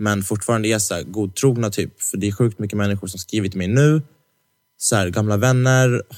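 With a fairly low pitch that varies in an ordinary way, a man speaks at a fairly quick pace. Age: 20s. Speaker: podcast co-host. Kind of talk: casual chat. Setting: studio.

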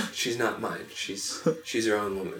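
Someone speaks with an American accent. Audible room echo and noticeable background noise fill the recording. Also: man. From northeastern North Carolina, early childhood New York. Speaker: podcast guest. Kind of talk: casual chat. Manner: halting, many fillers.

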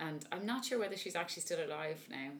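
Over noticeable background noise, a woman talks at a very fast pace in a Dublin accent, her pitch swinging very widely. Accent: Dublin Irish. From Dublin, Ireland. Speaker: opera singer. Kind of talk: casual interview chat.

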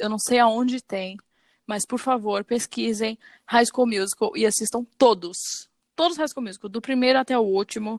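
Against a quiet background with a dry, close sound and no echo, a woman with a fairly high pitch uses an ordinary speaking voice at a moderate pace and ordinary pitch variation. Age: 20s. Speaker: podcast co-host. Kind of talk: casual chat.

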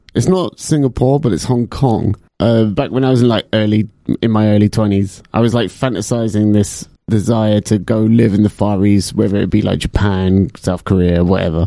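Here a man with a London accent speaks at a moderate pace in a fairly low pitch with a dark, mellow tone. His pitch varies in an ordinary way, and his loudness stays very even. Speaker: podcast host. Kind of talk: casual chat.

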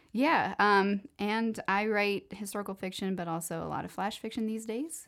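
A woman with a Midwestern American accent talks at a moderate pace. Her pitch is medium, with ordinary variation. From US Midwest, Cleveland, Ohio. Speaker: writer and literary editor. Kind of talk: casual chat.

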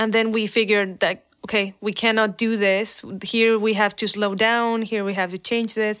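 A fairly high-pitched woman at a moderate pace with hardly any pauses and monotone, flat intonation, in a very clean recording with a silent background. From Mexico. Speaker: visual effects producer. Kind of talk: interview.

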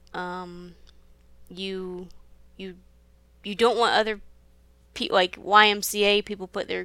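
A woman speaks with a Midwestern American accent in a bright, sharp tone, at a fairly slow pace and with flat, monotone intonation. The recording is very clean, with a silent background. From US Midwest. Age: 20s. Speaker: pastry cook. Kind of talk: casual chat.

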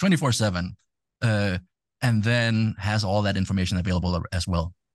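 A man speaks with a Danish accent. His pitch is fairly low and his pace moderate. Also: quiet background. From Denmark. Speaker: tech entrepreneur and DJ. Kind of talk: casual interview. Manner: hesitant with many fillers.

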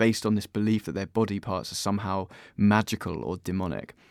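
A man with an ordinary speaking voice talks at a fairly quick pace and fairly low pitch, on a very clean recording with a silent background. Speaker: podcast host. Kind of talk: scripted intro and interview.

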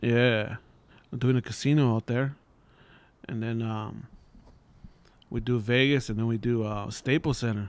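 A man with a medium-pitched voice speaks at a moderate pace in a monotone, flat way. He leaves long, frequent pauses. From East Los Angeles. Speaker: stand-up comedian. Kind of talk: casual chat.

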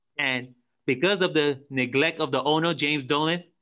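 A man speaks at a fairly high pitch and a moderate pace. His tone is bright and sharp, with ordinary pitch variation.

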